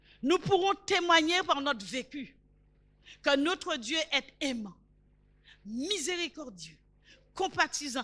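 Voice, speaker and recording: A woman projects a raised voice with a bright, sharp tone at a high pitch and lively intonation. Her pace is very slow, with long, frequent pauses. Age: 70s. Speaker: preacher. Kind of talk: sermon.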